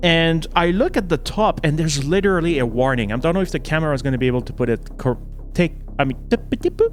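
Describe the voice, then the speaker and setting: A man with a Quebec accent talks at a very fast pace and a fairly high pitch. His intonation is lively, with noticeable background noise behind him. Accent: Québécois French accent in English. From Quebec, Canada. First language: French. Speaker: horror film reviewer. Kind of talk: casual video review. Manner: halting, with repeated words and false starts.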